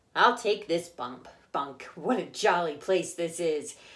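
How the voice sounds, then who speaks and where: A female-sounding, put-on character voice at a middle pitch moves at a fairly slow pace. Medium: read story. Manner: hearty, reassuring.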